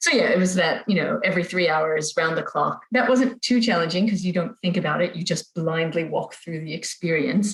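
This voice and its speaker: Fairly quick, somewhat breathy speech in an American accent, with hardly any pauses and ordinary pitch variation. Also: woman, medium pitch for a woman. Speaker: parent sharing feeding experience. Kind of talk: podcast interview.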